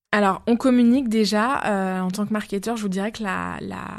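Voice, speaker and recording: At a moderate pace, a woman speaks with fairly even intonation at a medium pitch. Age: 30s. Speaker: marketing manager. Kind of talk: interview. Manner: hesitant, frequent fillers.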